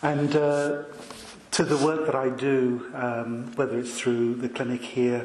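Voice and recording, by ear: A soft-spoken man talks at a fairly slow pace with a medium pitch and little pitch movement. His tone is slightly mellow, and the room echo is audible.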